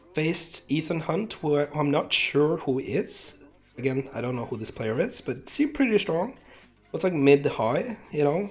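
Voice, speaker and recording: Lively intonation and a somewhat breathy sound carry speech at a moderate pace. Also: man, fairly high pitch for a man. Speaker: competitive gamer. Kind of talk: casual monologue. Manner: hesitant, many fillers.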